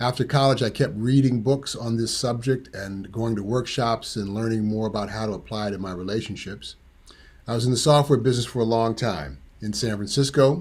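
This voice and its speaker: An unremarkable speaking voice from a man, medium in pitch with ordinary variation, at a fairly quick pace. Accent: American. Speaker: tantra teacher. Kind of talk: presentation.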